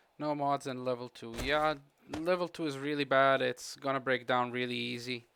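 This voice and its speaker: Speaking in a flat monotone at a moderate pace, a man with medium pitch has a bright, sharp tone. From Croatia. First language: Croatian. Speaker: gaming streamer. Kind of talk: live gameplay commentary with chat. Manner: casual, halting with fillers.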